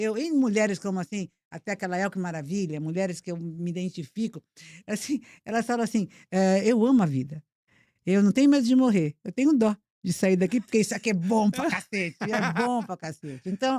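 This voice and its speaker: Dark and mellow in tone, a woman's medium-pitched voice moves at a fairly quick pace with lively intonation. The sound is dry and close with no echo, in a very clean recording with a silent background. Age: 70s. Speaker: motivational speaker. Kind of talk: podcast interview.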